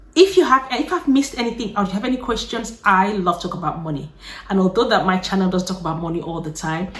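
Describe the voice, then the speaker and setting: Noticeable background noise sits behind a woman's voice. Her pitch varies in an ordinary way. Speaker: YouTuber. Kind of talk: casual chat. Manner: fast; animated.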